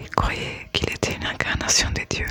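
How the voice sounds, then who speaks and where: Someone whispers at a fairly slow pace. Music plays in the background. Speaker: ASMR creator. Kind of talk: ASMR book reading. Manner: whispered.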